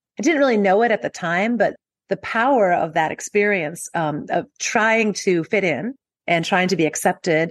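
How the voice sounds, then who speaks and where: A woman with a plain, everyday voice and ordinary pitch variation is heard against a quiet background, dry and close with no echo. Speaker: health journalist and author. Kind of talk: interview conversation.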